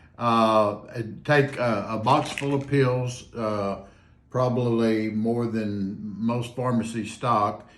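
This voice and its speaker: A man's medium-pitched voice at a very slow pace, fairly even in intonation, with audible room echo. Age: 70s. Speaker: patient recovered from covid. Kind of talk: interview testimony. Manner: halting, many fillers.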